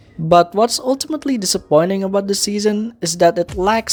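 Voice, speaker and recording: Music plays in the background as a man talks. His pitch is high and his pace moderate. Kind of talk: casual show review talk.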